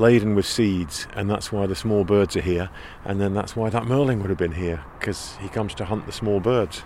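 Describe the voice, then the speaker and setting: Noticeable background noise beneath a man's fairly low-pitched voice. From England. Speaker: podcast host. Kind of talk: narration. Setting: outdoors.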